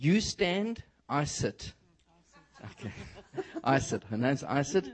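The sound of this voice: With a South African accent, a man speaks at a fairly high pitch.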